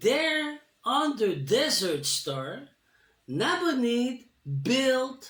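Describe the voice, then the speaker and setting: The speaker talks at a very slow pace in a French accent. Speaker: spiritual storyteller. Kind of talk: reading aloud with commentary. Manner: halting.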